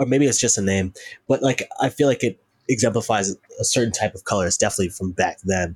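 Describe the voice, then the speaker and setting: This man talks at a very fast pace in a somewhat breathy voice with ordinary pitch variation. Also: medium pitch for a man. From North Carolina, US South. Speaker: musician. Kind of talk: casual chat.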